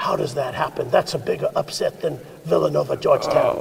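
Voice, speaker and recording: At a fairly quick pace, a man uses a put-on character voice with an extremely high pitch over light background noise. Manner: exasperated, exclaiming.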